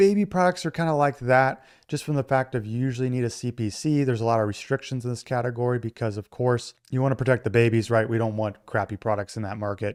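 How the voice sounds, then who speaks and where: A man at medium pitch talking at a very fast pace with hardly any pauses, ordinary pitch variation and a quiet background. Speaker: online business tutorial creator. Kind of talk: tutorial. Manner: casual.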